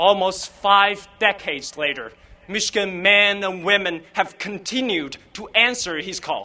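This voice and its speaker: A man's raised, projected voice with a Chinese accent, bright and sharp in tone, high-pitched, with big swings in loudness, ordinary pitch variation and a fairly slow pace. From Fuzhou, China. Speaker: graduating student. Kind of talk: commencement speech.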